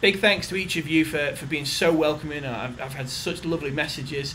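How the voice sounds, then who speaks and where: Amid audible room echo and noticeable background noise, a man with a British accent talks at a fairly quick pace in an enthusiastic tone. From England. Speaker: company general manager. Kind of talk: recorded video message. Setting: corporate office.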